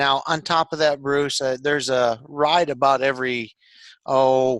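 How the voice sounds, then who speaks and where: A man's fairly high voice in an American accent, fairly slow and monotone, with flat intonation and very even loudness. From Michigan, USA. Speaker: small business owner. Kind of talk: casual podcast conversation.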